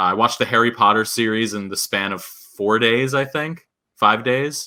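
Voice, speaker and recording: Recorded very cleanly against a silent background, a man with an American accent speaks at a medium pitch in a bright, sharp tone. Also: ordinary pitch variation, moderate pace. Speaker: podcast co-host. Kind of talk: casual chat. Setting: live stream. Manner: casual, lots of fillers.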